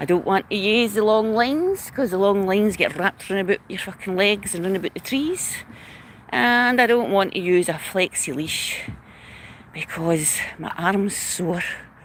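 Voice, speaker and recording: A woman with a Glaswegian accent and medium pitch speaks at a moderate pace over noticeable background noise. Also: ordinary pitch variation. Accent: Glaswegian Scottish. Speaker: dog trainer. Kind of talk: vlog monologue. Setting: outdoors. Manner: casual, sweary.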